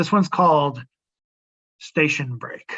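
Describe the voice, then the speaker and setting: The voice carries a New England accent. The pace is moderate. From Rhode Island, Woonsocket. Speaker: poet. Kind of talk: poetry reading. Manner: halting.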